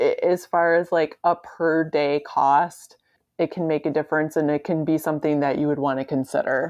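Against a quiet background, a woman speaks in a very deep, low voice with monotone, flat intonation and very even loudness. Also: moderate pace. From Michigan. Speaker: podcast host. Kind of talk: casual chat.

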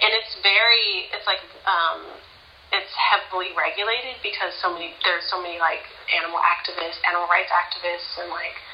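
A woman with a Californian accent talks at a fairly quick pace. Room echo is audible, along with noticeable background noise. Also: medium pitch for a woman, fairly even intonation. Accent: Californian American English. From US West Coast, Pasadena, California. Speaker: scientist and artist. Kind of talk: interview.

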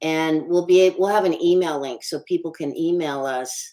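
A woman talks at a moderate pace in a low voice with ordinary pitch variation. Her tone is dark and mellow.

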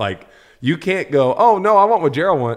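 Vocal fry runs through this man's voice, and his pitch swings very widely. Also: quiet background. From New Orleans, Louisiana. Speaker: TV food reporter and TikTok creator. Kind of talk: casual chat. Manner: animated.

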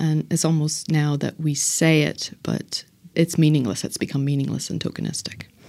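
A woman with a Northern Irish accent, very deep and low in pitch, at a moderate pace with fairly even intonation. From Northern Ireland. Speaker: political science professor. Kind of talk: interview. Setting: conference recording.

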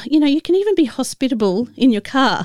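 A woman with an Australian accent makes very wide pitch swings, heard in a dry, close sound with no echo on a very clean recording against a silent background. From Australia, Adelaide. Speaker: podcast host. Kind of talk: casual storytelling monologue. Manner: halting, with many fillers.

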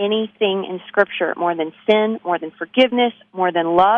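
Moving at a moderate pace, a woman speaks at a medium pitch. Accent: Texan. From Texas, Abilene. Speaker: author and musician. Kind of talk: interview.

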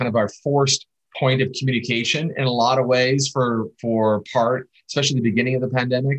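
In a plain, everyday voice, a man of medium pitch speaks at a moderate pace with fairly even intonation. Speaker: film director and producer. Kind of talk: casual interview.

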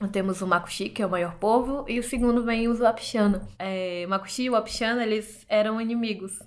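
Speaking at a moderate pace, a woman with a fairly high pitch and fairly even intonation has a normal speaking voice. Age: 20s. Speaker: journalist. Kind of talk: interview testimony.

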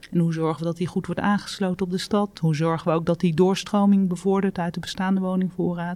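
A woman's dark, mellow tone, very fast and flat in a monotone delivery. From Netherlands, North Brabant near Breda. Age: 50s. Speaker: property development executive. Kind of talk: interview.

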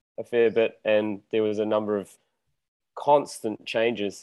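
Delivered at a moderate pace, this voice speaks in a monotone, flat intonation with a New Zealand accent. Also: man. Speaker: musician. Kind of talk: casual interview.

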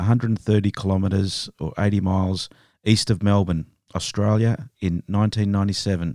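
With a quiet background, the speaker reads in a natural reading voice.

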